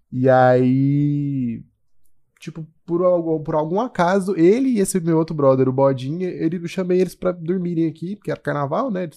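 Words arrive at a moderate pace, with ordinary pitch variation. A dark, mellow tone carries them. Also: man, fairly high pitch for a man. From Goiânia, Brazil. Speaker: musician and graphic designer. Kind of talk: casual chat.

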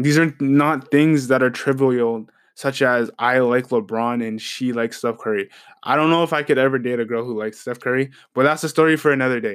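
Speaking fairly quickly in an unremarkable speaking voice, a man keeps fairly even intonation in a very clean recording with a silent background. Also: medium pitch for a man. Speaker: podcast host. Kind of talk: casual monologue.

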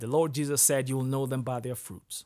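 A man speaks with a Kenyan accent. The recording is very clean, with a silent background. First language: Kikuyu. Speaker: Bible podcast host. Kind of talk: Bible reading with commentary. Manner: halting; casual.

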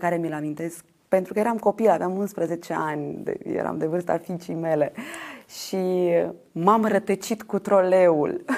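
At a fairly slow pace, a woman with a medium pitch and fairly even intonation speaks in an unremarkable speaking voice. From Moldova, Ștefan Vodă district. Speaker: actress and theatre director. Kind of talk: interview.

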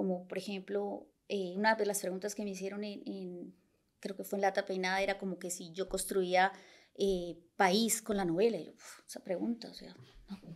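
In a Santander Colombian accent, a woman talks at a moderate pace and medium pitch. Her intonation is monotone and flat, with big swings in loudness. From Bucaramanga, Colombia. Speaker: writer and engineer, novel author. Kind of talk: casual interview conversation.

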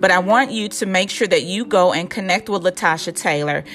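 A woman with an American accent and a fairly low pitch, animated in tone, at a moderate pace. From Illinois, Chicago suburbs. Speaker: podcast host. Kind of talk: casual interview chat.

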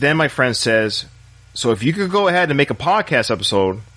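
A man with a fairly high pitch and a bright, sharp tone speaks at a moderate pace, his voice swinging very widely in pitch and dipping into vocal fry. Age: 40s. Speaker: podcast host. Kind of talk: solo monologue.

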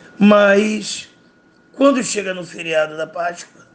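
Noticeable background noise under speech of ordinary pitch variation. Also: man. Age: 50s. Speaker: math teacher. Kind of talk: casual podcast talk, advice to students.

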